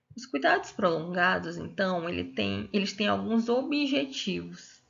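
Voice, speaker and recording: A woman's very slow speech with lively intonation and vocal fry. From Brazil, Piauí. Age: 20s. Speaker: physiotherapist and master's student. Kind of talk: lecture.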